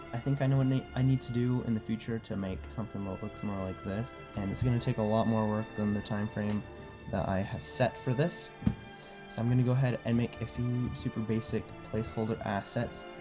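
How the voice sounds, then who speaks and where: Music in the background behind a male voice of medium pitch. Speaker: Roblox game builder. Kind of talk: casual build commentary.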